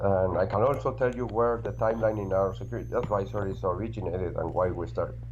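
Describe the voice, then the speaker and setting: A man talks at a very fast pace in a very deep, low voice with very wide pitch swings. The room echo is audible. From Argentina. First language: Spanish. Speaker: security researcher, tech executive. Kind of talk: interview.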